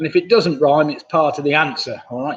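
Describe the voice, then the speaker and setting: Here is a man with an English accent. His voice sits fairly high and his intonation is lively. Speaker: quiz host. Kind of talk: live online quiz hosting. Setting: live stream from home computer. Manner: mumbling; casual, hesitant.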